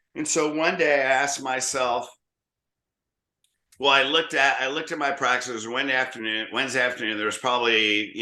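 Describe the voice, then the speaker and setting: A man's bright, sharp voice at a fairly quick pace, with audible room echo. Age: 60s. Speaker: chiropractor and practice coach. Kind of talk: interview. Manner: animated.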